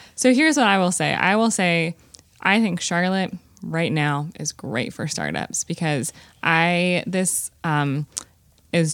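In a Southern US accent, a woman speaks at a fairly slow pace with a fairly low pitch. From Greensboro, North Carolina. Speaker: startup founder. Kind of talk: casual interview chat.

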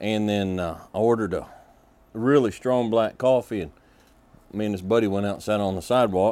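With a Southern US accent, a man speaks at a fairly quick pace and fairly low pitch, his dark, mellow tone holding fairly even intonation through long, frequent pauses. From Kentucky. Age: 50s. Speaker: podcast host. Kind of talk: casual monologue.

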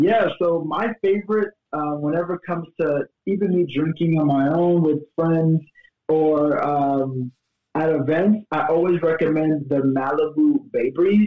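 A man with an American accent speaks at a fairly slow pace, his pitch fairly high with ordinary variation. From Miami, Florida; Haitian family. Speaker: bartending business owner. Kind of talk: casual interview.

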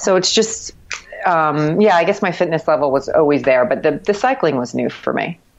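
With noticeable background noise behind her, a woman speaks in an American accent at a fairly low pitch with lively intonation. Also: moderate pace. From Miami, Florida. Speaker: marathon runner and cycling community member. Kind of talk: casual interview. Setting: Skype call.

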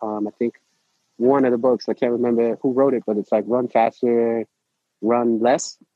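A man talks with a New York accent. His intonation is monotone and flat. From New York City (Manhattan). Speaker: running coach. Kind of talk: interview. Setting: outdoors at a protest run in Brooklyn.

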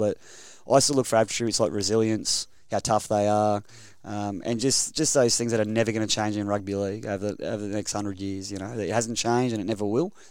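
A man with an Australian accent, fairly low pitch and a very fast pace, on a very clean recording with a silent background. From Queensland, Rockhampton. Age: 30s. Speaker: rugby league coach. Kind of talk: casual interview. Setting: studio.

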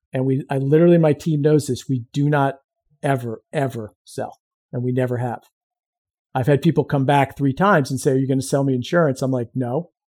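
A man's fairly high-pitched voice with a dark, mellow tone, moving at a fairly quick pace. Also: fairly even intonation. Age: 50s. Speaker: insurance agency owner and veteran. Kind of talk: casual interview.

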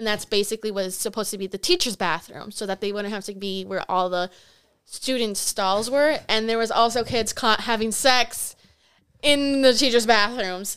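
Moderate-paced speech in a plain, everyday voice, ordinary pitch variation, very clean recording and silent background. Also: woman, fairly high pitch for a woman. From Wisconsin, Milwaukee area. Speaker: college student. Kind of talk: casual chat.

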